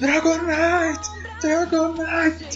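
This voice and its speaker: Put-on character voice at an extremely high pitch, very slow, over loud background noise. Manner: shouting.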